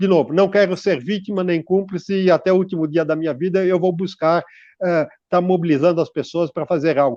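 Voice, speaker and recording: The voice has a dark, mellow tone and fairly even intonation. It moves at a fairly quick pace over a quiet background. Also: man, high pitch for a man. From Brazil, São Paulo city. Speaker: environmental researcher. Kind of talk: radio interview. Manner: halting, many fillers and repetitions.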